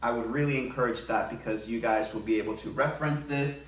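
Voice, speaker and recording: Amid audible room echo and noticeable background noise, a man with a Spanish accent speaks at a fairly quick pace and medium pitch with ordinary pitch variation. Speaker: elementary school teacher. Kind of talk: tutorial. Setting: home living room.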